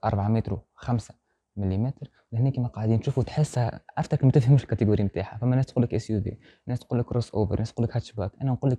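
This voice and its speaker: A somewhat breathy man's voice with a dark, mellow tone and fairly even intonation, rushing at a very fast pace, dry with no echo against a quiet background. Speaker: car reviewer. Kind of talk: car review presentation. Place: shop.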